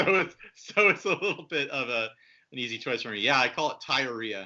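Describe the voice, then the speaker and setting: A man with a normal speaking voice, medium pitch, lively intonation and a fairly quick pace. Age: 30s. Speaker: guitar podcast host and youtuber. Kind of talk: casual chat.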